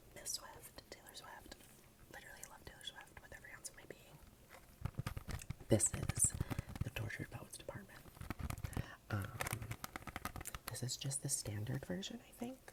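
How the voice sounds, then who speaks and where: A man whispering over noticeable background noise. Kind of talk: ASMR collection video, casual talk to camera. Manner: whispered, soft-spoken.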